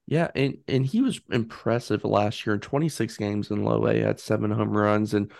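Against a quiet background, a man uses a plain, everyday voice at medium pitch with ordinary pitch variation. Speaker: co-host. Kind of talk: casual chat.

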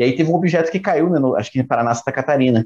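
With lively intonation, a man speaks in a plain, everyday voice at a medium pitch. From Brazil. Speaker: podcast co-host. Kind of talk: casual chat.

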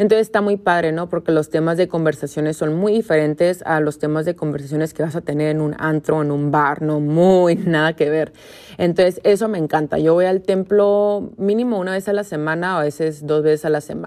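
A woman's dark, mellow voice at a fairly quick pace. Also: fairly low pitch for a woman, ordinary pitch variation. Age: 20s. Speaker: podcast host, yoga teacher. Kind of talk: casual monologue.

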